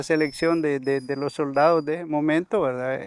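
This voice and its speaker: A man speaks in a monotone with flat intonation at a fairly high pitch. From El Salvador, Suchitoto area. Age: 60s. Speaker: conflict survivor, former soldier, community leader. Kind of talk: testimony. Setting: on location in rural community. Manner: halting, repeats words.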